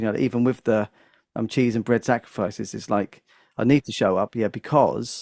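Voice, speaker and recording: A man at a medium pitch and moderate pace. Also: ordinary pitch variation, dry, close sound with no echo, very clean recording, silent background. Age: 40s. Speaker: comedian and music teacher. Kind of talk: casual podcast conversation. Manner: halting with frequent fillers.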